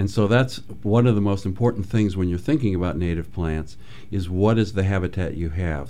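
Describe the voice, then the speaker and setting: This man has a very deep, low pitch and a dark, mellow tone, with ordinary pitch variation and an American accent. Audible room echo surrounds his voice. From Michigan, US Midwest. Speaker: ecologist. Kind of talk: radio interview. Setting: radio studio.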